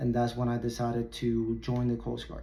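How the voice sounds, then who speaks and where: Audible room echo surrounds a man speaking with a Puerto Rican accent. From Puerto Rico. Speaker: military recruiter. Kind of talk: presentation to high school students.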